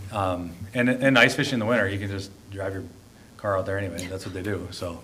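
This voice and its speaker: Talking very fast with an American accent, a man speaks at a fairly low pitch with ordinary pitch variation, amid noticeable background noise and audible room echo. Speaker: mayor. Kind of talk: city council meeting discussion. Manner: relaxed, laid-back; casual, conversational.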